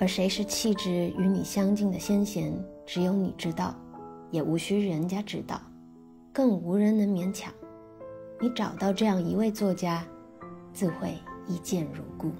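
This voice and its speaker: Music plays in the background as the speech moves at a fairly slow pace with long, frequent pauses. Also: woman. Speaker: actress and musician. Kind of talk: literary essay reading. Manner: unhurried.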